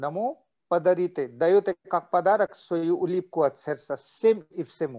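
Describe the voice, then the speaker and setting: With lively intonation, a man speaks at a high pitch in a dark, mellow tone. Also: quiet background. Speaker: meditation teacher. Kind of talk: guided meditation. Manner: switches between English and Russian. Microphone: video call.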